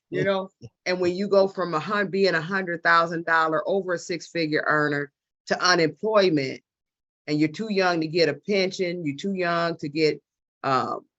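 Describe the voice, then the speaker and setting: Moderately paced female speech in an American accent, rather low in pitch. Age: 50s. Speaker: travel business member. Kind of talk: testimony.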